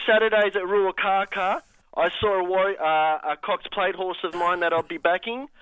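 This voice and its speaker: Using an Australian accent, a man talks at a moderate pace in a high pitch with fairly even intonation. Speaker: caller to a racing and sports radio show. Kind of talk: casual phone chat. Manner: flat-sounding.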